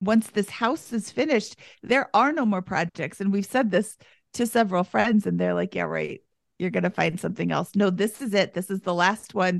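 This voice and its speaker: A woman's medium-pitched voice with vocal fry at a moderate pace, dry and close with no echo, against a quiet background. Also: ordinary pitch variation. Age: 50s. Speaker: guest, personal finance coaching. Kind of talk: casual chat.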